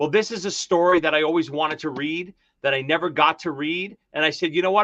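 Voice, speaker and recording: Talking at a very fast pace in a Brooklyn accent, a man has a high pitch, a bright, sharp tone and ordinary pitch variation, recorded dry and close with no echo against a quiet background. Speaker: author of a fantasy novel, KISS fan. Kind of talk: casual chat.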